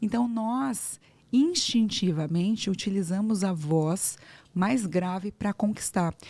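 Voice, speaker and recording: The delivery is very slow and somewhat breathy. Loudness stays very even throughout. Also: woman, medium pitch for a woman, ordinary pitch variation. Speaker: speech therapist, voice coach. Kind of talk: interview podcast conversation.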